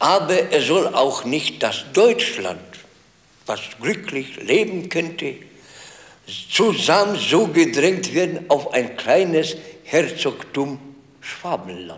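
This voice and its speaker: Speaking at a very slow pace, a man leaves long, frequent pauses. His voice is high for a man, with ordinary pitch variation. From Upper Silesia, Zabrze; Upper Silesia. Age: 70s. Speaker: war veteran; interviewee. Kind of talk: interview.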